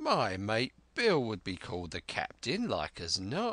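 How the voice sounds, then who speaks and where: A man puts on a raspy character voice at a medium pitch. He speaks at a fairly slow pace with a dry, close sound and no echo. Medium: read story. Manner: leering, sly.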